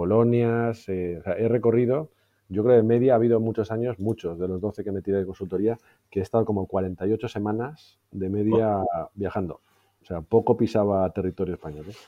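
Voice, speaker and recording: With a Madrid accent, a man talks at a moderate pace in a fairly low voice with ordinary pitch variation. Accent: Peninsular Spanish (Madrid). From Spain, Madrid. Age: 40s. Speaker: IT executive. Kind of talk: interview.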